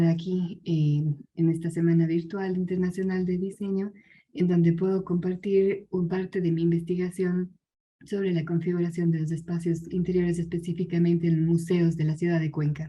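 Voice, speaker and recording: Somewhat breathy with a dark, mellow tone, a woman speaks at a moderate pace in a monotone, flat intonation. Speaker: conference speaker, design researcher. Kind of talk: conference presentation.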